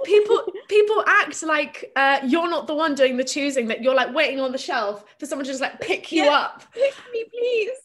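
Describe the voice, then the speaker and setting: Amid noticeable background noise, a woman with a high pitch speaks at a moderate pace with hardly any pauses and very wide pitch swings. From England, Plymouth, Devon. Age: 20s. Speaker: artist and author. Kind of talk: casual chat.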